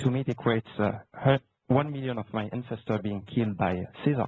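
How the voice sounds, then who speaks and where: With a slight French accent, a man talks at a fairly quick pace and a medium pitch, with ordinary pitch variation. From France. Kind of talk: casual chat.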